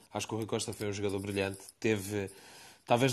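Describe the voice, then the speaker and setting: The man's pitch is fairly low, set against a quiet background. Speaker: participant in a live audio discussion room. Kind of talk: casual discussion. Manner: halting, many repetitions and fillers.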